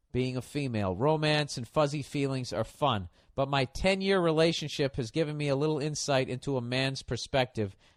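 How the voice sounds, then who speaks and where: In an ordinary speaking voice, a man with an American accent and a fairly high pitch talks at a fairly quick pace with hardly any pauses and ordinary pitch variation. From United States. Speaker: comedian. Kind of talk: podcast advice segment.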